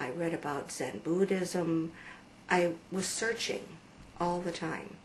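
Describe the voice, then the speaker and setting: Speech comes at a very slow pace with ordinary pitch variation. Noticeable background noise runs underneath. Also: woman, fairly low pitch for a woman. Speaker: religious convert telling her story. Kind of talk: testimony. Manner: halting, with many fillers.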